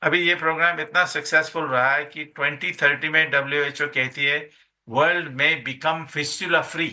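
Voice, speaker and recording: With a fairly high pitch and a bright, sharp tone, a man speaks in a monotone, flat intonation. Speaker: surgeon and professor, fistula specialist. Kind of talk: interview answer.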